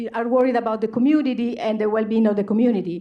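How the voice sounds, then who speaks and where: This woman has a dark, mellow tone. Her pitch is fairly high. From Italy. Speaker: activist. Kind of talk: public hearing testimony. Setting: public hearing with audience.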